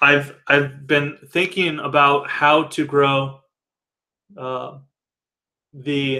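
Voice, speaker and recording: A man with a fairly high pitch speaks very slowly in a monotone, flat way. He leaves long, frequent pauses. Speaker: company founder presenting to members. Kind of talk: live video Q&A. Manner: hesitant, many fillers.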